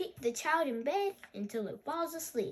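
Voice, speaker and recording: Using a squeaky, put-on character voice, a woman speaks at a high pitch and a moderate pace. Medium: read story.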